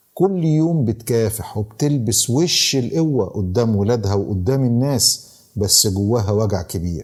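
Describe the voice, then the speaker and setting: Speaking at a fairly slow pace with an Egyptian accent, a man with a medium-pitched, somewhat breathy voice uses lively intonation. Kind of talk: podcast moral talk and storytelling.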